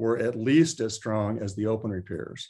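A man's voice with ordinary pitch variation, over a quiet background. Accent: Texan. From central Texas (Taylor). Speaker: retired orthopaedic surgeon. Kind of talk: interview.

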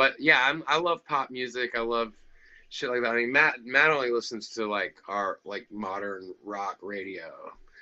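An unremarkable speaking voice from a man with an American accent, medium pitch, ordinary pitch variation and a moderate pace. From US South. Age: 30s. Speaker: rock musician. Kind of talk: casual chat.

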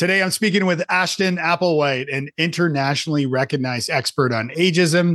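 A man's ordinary speaking voice with lively intonation at a moderate pace, dry, close sound with no echo and a quiet background. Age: 50s. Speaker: podcast host. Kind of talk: casual interview.

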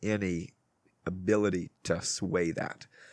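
A man with an American accent talks at a very slow pace and a fairly low pitch. The sound is dry and close with no echo, over a quiet background. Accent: south Louisiana Cajun-tinged Southern US. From Louisiana. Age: 20s. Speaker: real estate agent. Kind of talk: casual interview. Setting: porch studio.

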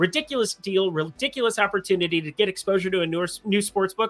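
Raising and projecting his voice, a man speaks at a very fast pace in a high pitch. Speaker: sports betting YouTuber. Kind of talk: sports betting picks show. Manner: low energy, low key.

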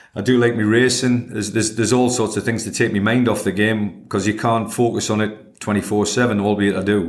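A man with a northeast English accent and a fairly low pitch talks at a very fast pace with hardly any pauses. His intonation is monotone and flat. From northeast England. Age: 60s. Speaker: football manager. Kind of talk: interview.

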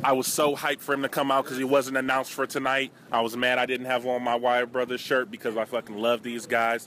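Talking at a very fast pace in a flat monotone, a man is heard over noticeable background noise. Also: medium pitch for a man. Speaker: co-host interviewer. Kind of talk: casual street interviews.

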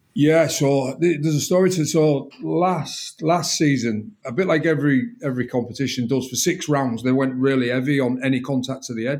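With a strong northern English accent, a man talks at a moderate pace. His pitch is fairly high, with ordinary variation. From northern England, Hull. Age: 40s. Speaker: rugby defence coach, former rugby league player. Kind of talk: interview. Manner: repeats words when thinking.

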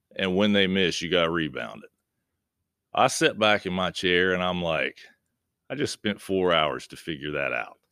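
In a very clean recording with a silent background, a man with an American accent speaks at a moderate pace with long, frequent pauses. His very deep, low pitch varies in an ordinary way, with a bright, sharp tone and vocal fry. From West Virginia, Point Pleasant. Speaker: high school basketball coach. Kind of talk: casual interview. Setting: classroom.

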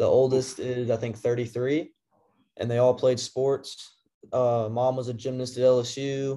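Here a man speaks very slowly at a medium pitch, in a flat monotone. His tone is dark and mellow. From Tennessee, Memphis area. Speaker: college baseball player. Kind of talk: casual interview.

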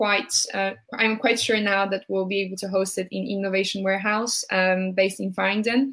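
With a Polish accent, a woman speaks at a fairly slow pace in a medium-pitched voice with monotone, flat intonation. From Poland, Warsaw. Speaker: startup founder. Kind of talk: interview.

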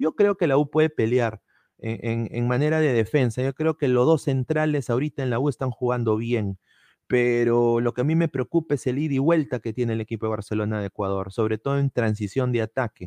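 Against a quiet background, a man with a dark, mellow tone and medium pitch talks at a fairly quick pace with ordinary pitch variation, the sound dry and close with no echo. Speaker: football podcast host. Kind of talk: live-streamed casual football talk. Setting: live stream.

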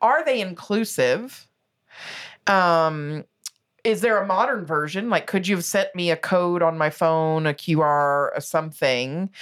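Fairly low-pitched, a woman speaks at a fairly slow pace in an animated tone with lively intonation. Her loudness is very even, and the recording is very clean with a silent background. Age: 40s. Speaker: podcast co-host, fundraising consultant. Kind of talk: casual chat.

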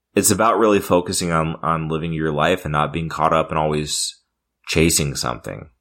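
An American-accented man speaks at a moderate pace with a very deep, low pitch and fairly even intonation. The recording is very clean with a silent background. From California. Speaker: podcast co-host. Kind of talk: casual chat.

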